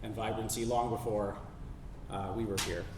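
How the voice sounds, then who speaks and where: Amid noticeable background noise and audible room echo, a man with a Canadian accent speaks with fairly even intonation. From western Canada, North Vancouver. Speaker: sea kayak guide and outdoor educator. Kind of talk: public talk.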